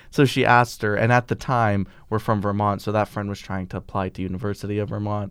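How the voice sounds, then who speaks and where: On a very clean recording with a silent background, a man with an unremarkable speaking voice talks at a fairly quick pace, his fairly low voice holding fairly even intonation. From US, born to Bosnian immigrant parents. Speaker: college student. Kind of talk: personal storytelling interview.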